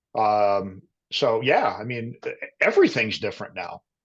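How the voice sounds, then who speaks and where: His voice has an American accent and a medium pitch. A somewhat breathy quality comes through as this man talks. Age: 50s. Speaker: career transition coach. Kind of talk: casual interview. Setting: podcast.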